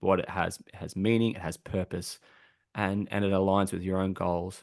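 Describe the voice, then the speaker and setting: Over a quiet background, a man speaks at a fairly quick pace with an Australian accent. His pitch is very deep and low. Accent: Australian, relaxed, somewhat broad. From rural Australia. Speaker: thought leader on customer and employee experience. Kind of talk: podcast interview. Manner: hesitant, many repeated words.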